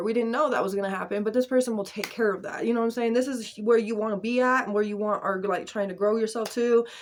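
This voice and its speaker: The recording is very clean, with a silent background. A woman speaks at a fairly high pitch in a monotone, flat intonation. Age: 30s. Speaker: tarot reader. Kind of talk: tarot reading. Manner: fast; casual, filler-heavy.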